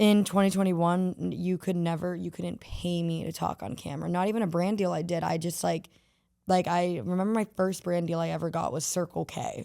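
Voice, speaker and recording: Fairly low in pitch and dark, mellow in tone, a woman speaks at a fairly quick pace with fairly even intonation on a very clean recording with a silent background. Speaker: social media influencer. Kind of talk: casual interview chat. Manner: casual, filler-heavy.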